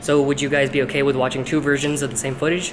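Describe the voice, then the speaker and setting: A man at a very fast pace, with noticeable background noise. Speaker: parkour vlogger. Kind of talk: casual vlog chat. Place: market. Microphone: phone near.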